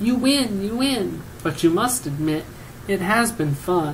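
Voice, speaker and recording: A man's high-pitched, put-on character voice at a fairly slow pace, with clear background noise. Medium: read story. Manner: sly.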